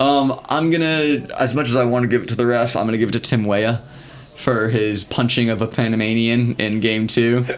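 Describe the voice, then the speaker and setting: With an American accent, a man speaks at a fairly quick pace and medium pitch, his intonation fairly even and loudness very even, against noticeable background noise. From US South. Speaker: podcast co-host. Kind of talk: casual chat.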